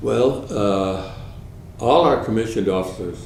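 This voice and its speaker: A man speaks with ordinary pitch variation amid noticeable background noise and audible room echo. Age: 80s+. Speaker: war veteran. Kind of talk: oral history interview. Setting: at home. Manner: halting.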